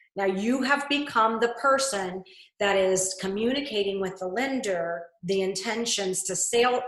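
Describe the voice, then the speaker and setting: A woman's pitch shifts in an ordinary way while audible room echo hangs on her voice. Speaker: real estate trainer. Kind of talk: webinar presentation.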